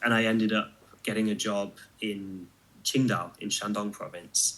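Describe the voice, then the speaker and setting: A man speaks at a moderate pace in a fairly low, monotone, flat voice. The recording is very clean, with a silent background. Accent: British. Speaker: martial artist, kung fu video maker. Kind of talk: casual interview.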